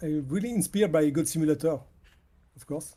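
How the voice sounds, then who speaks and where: Speaking with a strong French accent, a man has a high pitch, ordinary pitch variation and a dark, mellow tone. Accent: heavy French. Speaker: indie game developer. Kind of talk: interview. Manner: halting.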